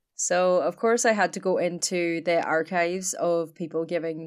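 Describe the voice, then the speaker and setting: Fairly low-pitched woman at a moderate pace on a very clean recording with a silent background. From Ireland. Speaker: podcast co-host. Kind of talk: casual chat. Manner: animated.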